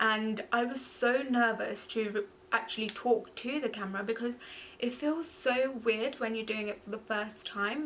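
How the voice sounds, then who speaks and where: A woman speaks with a London accent at a fairly high pitch. Her pace is moderate and her pitch variation ordinary. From London, England (born in Goa, India). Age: 20s. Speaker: beauty vlogger. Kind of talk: casual chat.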